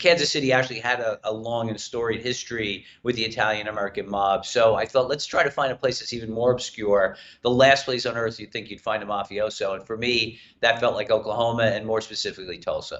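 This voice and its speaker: A man with a New York accent talks at a very fast pace with hardly any pauses. His pitch is medium and his intonation fairly even. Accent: New York accent, moderate. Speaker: TV writer and executive producer. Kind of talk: interview. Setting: live streamed interview.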